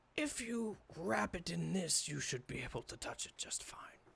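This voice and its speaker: This put-on character voice is raspy and sits at a middle pitch. It moves at a moderate pace. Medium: actual play. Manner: curt.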